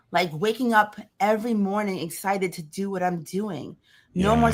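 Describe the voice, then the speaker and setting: At a moderate pace, a woman with a New York accent talks at medium pitch with ordinary pitch variation. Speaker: podcast guest, business owner.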